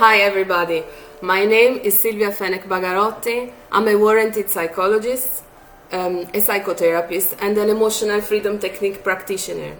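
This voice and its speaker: A woman with a medium pitch speaks at a fairly quick pace in a monotone, flat intonation, with noticeable background noise behind her. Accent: non-native. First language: not English. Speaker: psychologist. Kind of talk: tutorial. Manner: hesitant, with filler sounds.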